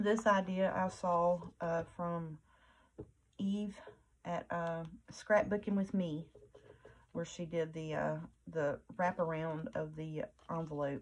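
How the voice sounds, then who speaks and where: A soft-spoken, mumbling woman with a fairly low pitch, ordinary pitch variation and long, frequent pauses. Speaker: crafting YouTuber. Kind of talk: crafting tutorial chat.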